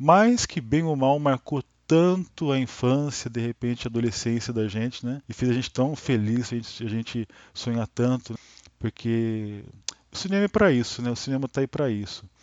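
The speaker is a man with a medium pitch. His intonation moves in an ordinary way. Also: moderate pace. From Brazil, Taubaté, São Paulo state. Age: 40s. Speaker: podcast host, film enthusiast. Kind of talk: casual monologue. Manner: spontaneous, hesitant with many fillers.

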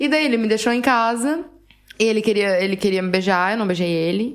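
A woman of medium pitch with a Brazilian accent, on a very clean recording with a silent background. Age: 20s. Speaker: podcast co-host. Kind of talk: casual chat.

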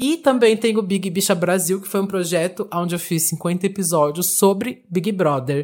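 With music in the background, the speaker keeps a moderate pace with hardly any pauses. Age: 20s. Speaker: drag queen, DJ and podcaster. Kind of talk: interview.

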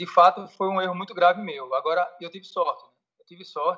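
A man speaks at a moderate pace in a high voice. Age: 40s. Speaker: federal police fingerprint examiner. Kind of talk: casual interview. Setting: Skype call. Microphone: Skype connection, may drop out.

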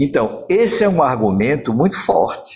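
A man with a fairly high pitch and vocal fry talks at a fairly slow pace, his voice moving in very wide pitch swings. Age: 70s. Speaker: pediatrician. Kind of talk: interview.

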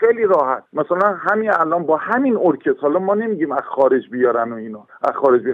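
This man talks with a high-pitched voice. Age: 60s. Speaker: horn player and orchestra conductor. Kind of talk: interview. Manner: halting.

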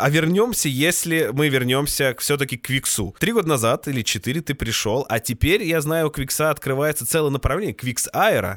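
A man with a fairly high pitch speaks at a moderate pace in an unremarkable speaking voice, with lively intonation and hardly any pauses. The sound is dry and close, with no echo. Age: 30s. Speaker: podcast host. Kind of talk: casual chat.

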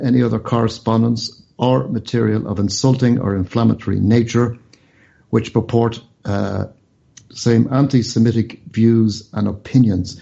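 A man with an Irish accent, medium pitch, ordinary pitch variation and a moderate pace. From Ireland. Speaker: radio show host. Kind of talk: news discussion.

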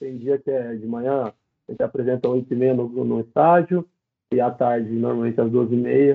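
Here a man has an unremarkable speaking voice, medium pitch, ordinary pitch variation and a moderate pace. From interior of São Paulo state, Brazil. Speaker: professional footballer. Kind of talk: casual interview. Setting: live-streamed podcast.

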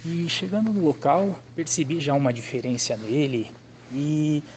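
A man talks at a very slow pace. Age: 30s. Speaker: customer testimonial. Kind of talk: testimony.

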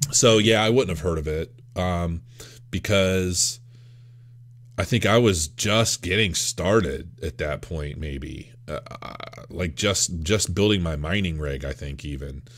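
A man with a very deep, low pitch and vocal fry speaks at a fairly slow pace, his intonation lively and his loudness swinging widely. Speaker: crypto YouTuber. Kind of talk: video review. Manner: halting.

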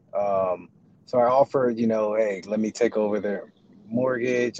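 Moderate pace, with a dry, close sound free of echo and noticeable background noise. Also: man. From Texas. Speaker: caller. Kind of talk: casual chat. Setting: in a car.

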